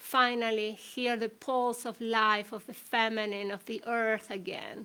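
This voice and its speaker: A woman's high-pitched, bright, sharp voice at a fairly slow pace, with fairly even intonation, on a very clean recording with a silent background. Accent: Spanish. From Chile. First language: Spanish. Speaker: shamanic healer and author. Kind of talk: talk. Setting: livestream. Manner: hesitant.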